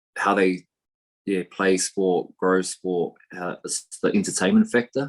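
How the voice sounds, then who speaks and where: This man speaks at a moderate pace in a very deep, low voice with a New Zealand accent. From New Zealand, East Coast. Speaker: professional rugby player. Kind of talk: podcast interview. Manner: casual, many fillers.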